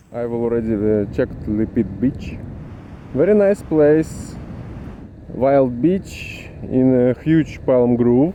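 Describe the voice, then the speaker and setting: Over noticeable background noise, a man at a medium pitch talks very slowly with lively intonation. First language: not English. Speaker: travel vlogger. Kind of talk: travel vlog narration. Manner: halting.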